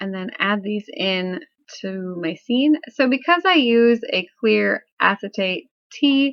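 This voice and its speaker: Speaking at a very slow pace, a woman uses a fairly high pitch with very wide pitch swings. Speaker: papercraft card maker. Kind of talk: craft tutorial voice-over.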